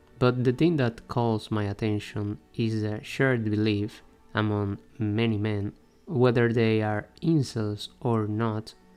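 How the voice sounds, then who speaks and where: Music plays behind a speaker with a non-native accent who talks at a very slow pace with fairly even intonation. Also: man, medium pitch for a man. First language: not English. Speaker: video essayist. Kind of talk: scripted commentary.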